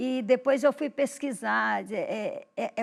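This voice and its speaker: This woman's voice has ordinary pitch variation, captured in a very clean recording with a silent background. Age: 70s. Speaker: writer and teacher. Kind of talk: interview.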